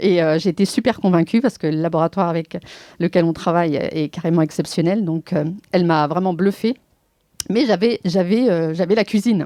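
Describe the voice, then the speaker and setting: The voice has a dark, mellow tone and ordinary pitch variation at a moderate pace. The sound is dry and close with no echo, over a quiet background. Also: woman, fairly low pitch for a woman. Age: 50s. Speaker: entrepreneur. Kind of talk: testimony. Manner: halting, many hesitations.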